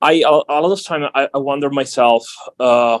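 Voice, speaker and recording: Someone with a non-native accent speaks at a moderate pace, recorded with a dry, close sound and no echo. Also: man. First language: not English. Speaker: visiting scholar, philosophy panelist. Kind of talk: panel discussion. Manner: halting, many repetitions.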